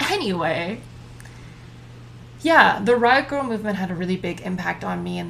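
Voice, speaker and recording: A woman is speaking. Room echo is audible. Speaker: solo podcaster. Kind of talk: casual monologue. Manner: loud; talkative, rambling with side notes.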